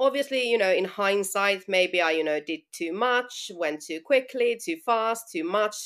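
A woman with a Finnish accent at medium pitch, fairly slow yet with hardly any pauses, her intonation lively, on a very clean recording with a silent background. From Finland. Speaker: running brand founder. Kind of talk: interview.

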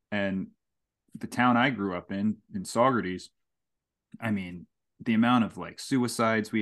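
Against a quiet background, a man talks in a plain, everyday voice, his fairly low pitch held in fairly even intonation. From Hudson Valley, New York. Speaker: podcast host. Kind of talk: casual chat.

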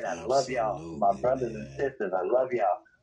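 Noticeable background noise surrounds a man speaking with an American accent in a medium pitch. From South Carolina. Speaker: musician. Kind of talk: casual interview.

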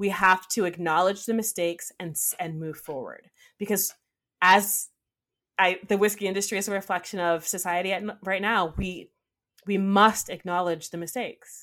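A woman talks in an unremarkable speaking voice at a moderate pace with fairly even intonation and big swings in loudness. The recording is very clean, with a silent background. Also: medium pitch for a woman. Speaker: whiskey educator and distiller apprentice. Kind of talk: casual interview conversation.

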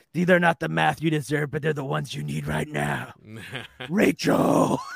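In a gravelly, put-on character voice, a man talks at a moderate pace. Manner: dramatic, brooding.

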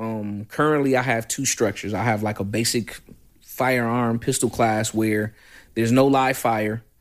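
Over a very clean recording with a silent background, a man talks at a medium pitch with an American accent. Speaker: firearms instructor. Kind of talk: casual interview. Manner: loud and animated.

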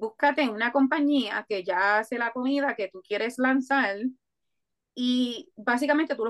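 A woman's high-pitched voice at a fairly slow pace, with a dry, close sound and no echo. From Puerto Rico (Coamo). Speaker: food entrepreneur. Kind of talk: interview. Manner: hesitant fillers.

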